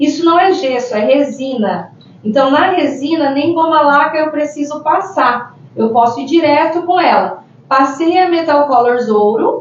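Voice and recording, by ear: The speech has lively intonation and very even loudness at a fairly slow pace, with noticeable background noise behind it. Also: woman, high pitch for a woman. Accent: rural Brazilian.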